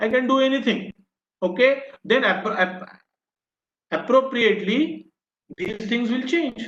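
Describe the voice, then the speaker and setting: Long, frequent pauses break up this man's fairly slow speech. His pitch is high. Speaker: professor. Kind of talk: lecture. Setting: online video session.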